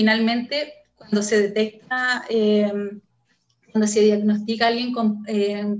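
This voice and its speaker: A woman speaks at a fairly slow pace in a fairly high, somewhat breathy voice with monotone, flat intonation. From northern Chile, Antofagasta. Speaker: neuroscience researcher. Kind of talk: interview.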